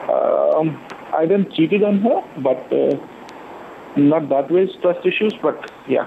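A man at a fairly slow pace over noticeable background noise. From India, Delhi. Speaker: caller. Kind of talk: phone-in confession. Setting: phone call. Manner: halting, many fillers.

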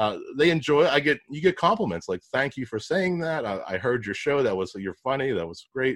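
In an American accent, a man with a fairly high pitch and vocal fry talks at a fairly quick pace with very wide pitch swings and hardly any pauses. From Pittsburgh, US. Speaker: podcast host and digital marketer. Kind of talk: casual interview.

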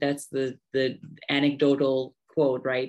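An American accent colors this voice. Delivery comes at a fairly slow pace. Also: woman. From United States. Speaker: podcaster. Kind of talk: interview. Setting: library. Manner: hesitant, many fillers.

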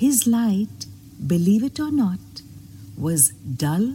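Natural voice for reading

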